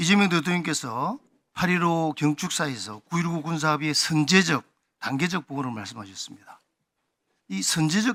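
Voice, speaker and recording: A man with a fairly high, bright and sharp voice speaks at a moderate pace, his pitch swinging very widely between long, frequent pauses. The recording is very clean with a silent background. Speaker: lawmaker. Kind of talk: parliamentary questioning.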